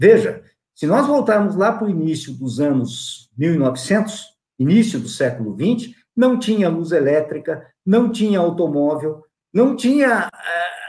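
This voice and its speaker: A man talks in a high voice at a fairly slow pace. His pitch swings very widely. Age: 70s. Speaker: lecturer. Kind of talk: online talk Q&A. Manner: repeats words, hesitant.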